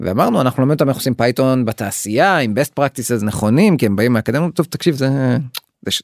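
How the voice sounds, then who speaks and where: The delivery is very fast, with lively intonation. The sound is dry and close, with no echo. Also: man, medium pitch for a man. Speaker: startup CTO and co-founder. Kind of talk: interview.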